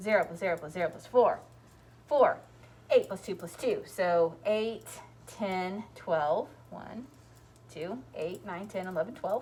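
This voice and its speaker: Speaking at a very slow pace, a woman has a medium pitch, a somewhat breathy quality, and ordinary pitch variation. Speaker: elementary school teacher. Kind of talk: math tutorial. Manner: casual.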